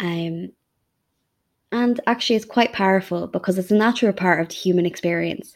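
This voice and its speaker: The recording is very clean, with a silent background. A woman of medium pitch talks at a moderate pace. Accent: western Irish. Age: 30s. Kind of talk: personal monologue. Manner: hesitant, frequent ums.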